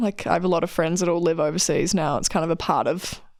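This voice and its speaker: A New Zealand accent on a very clean recording with a silent background. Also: woman. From New Zealand, Queenstown. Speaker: alpine ski racer. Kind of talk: interview. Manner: casual, many fillers.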